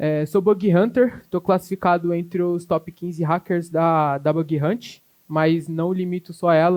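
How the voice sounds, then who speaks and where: A man with a fairly high voice talks at a fairly slow pace with fairly even intonation over a quiet background. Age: 20s. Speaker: cybersecurity specialist, conference speaker; conference speaker. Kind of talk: conference talk. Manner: halting, many fillers. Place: hall. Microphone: handheld.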